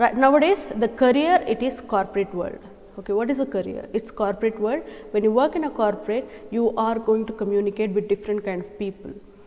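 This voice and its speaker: Noticeable background noise sits under the recording. A woman speaks fairly quickly at a fairly high pitch. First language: not English. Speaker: English teacher. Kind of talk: tutorial.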